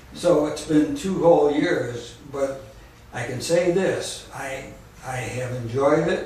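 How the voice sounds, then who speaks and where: A man with a fairly high voice, very slow pace, ordinary pitch variation and big swings in loudness, plus audible room echo and noticeable background noise. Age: 70s. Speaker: radio show host. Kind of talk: testimony. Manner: halting.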